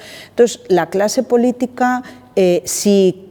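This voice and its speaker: Lively intonation marks this fairly slow delivery, heard over noticeable background noise. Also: woman. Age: 60s. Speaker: director of a vocational training organization. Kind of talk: interview conversation.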